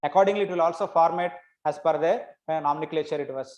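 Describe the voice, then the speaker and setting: A man talks with an Indian accent. His voice is high in pitch, with fairly even intonation. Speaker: academic researcher. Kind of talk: lecture.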